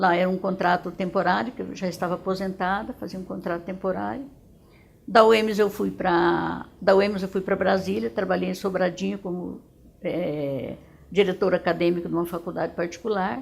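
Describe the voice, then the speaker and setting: Vocal fry runs through a woman's medium-pitched voice. She keeps a moderate pace with ordinary pitch variation. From Dourados, Mato Grosso do Sul, Brazil. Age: 70s. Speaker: retired educator. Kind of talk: testimony. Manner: halting, with frequent repetitions.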